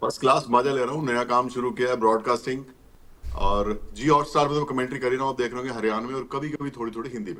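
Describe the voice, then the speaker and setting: Over noticeable background noise, a man with a Haryana accent speaks at a medium pitch with fairly even intonation. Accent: Haryanvi. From India, Haryana belt village. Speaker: retired cricket umpire and commentator. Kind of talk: interview.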